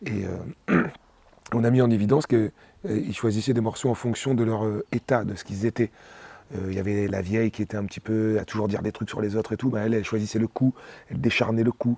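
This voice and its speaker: The speaker talks at a very fast pace in a dark, mellow tone, with fairly even intonation and long, frequent pauses. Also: man, fairly low pitch for a man, dry, close sound with no echo. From Réunion. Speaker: singer. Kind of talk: interview. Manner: halting, many hesitations.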